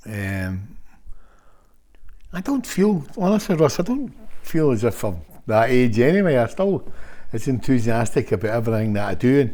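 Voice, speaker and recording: A man speaks in a dark, mellow tone at a moderate pace, leaving long, frequent pauses. His pitch swings very widely. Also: medium pitch for a man. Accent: Scottish. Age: 60s. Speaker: football manager. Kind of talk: casual interview chat. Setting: at the guest's home.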